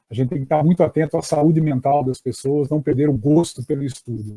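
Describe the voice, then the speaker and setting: A man with a dark, mellow, somewhat breathy tone talks at a fairly quick pace and fairly even intonation, the sound dry and close with no echo. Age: 60s. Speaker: education professor. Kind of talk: lecture. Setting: online live stream. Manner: halting, many fillers.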